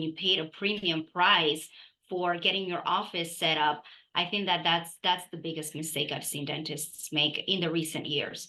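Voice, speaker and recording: With a non-native accent, a woman speaks in a bright, sharp tone at a fairly low pitch. Her intonation stays fairly even. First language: not English. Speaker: dental practice consultant. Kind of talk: podcast interview.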